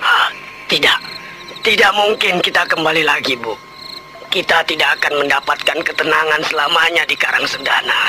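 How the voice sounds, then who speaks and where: At a moderate pace, a man puts on a high-pitched character voice. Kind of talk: Indonesian radio drama acting. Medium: audio drama. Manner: stammering, weary.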